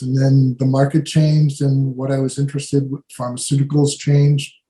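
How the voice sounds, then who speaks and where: A man with a fairly high pitch speaks in a dark, mellow tone that is somewhat breathy. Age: 70s. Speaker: writer. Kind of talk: Q&A talk at a club meeting. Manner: halting, many fillers.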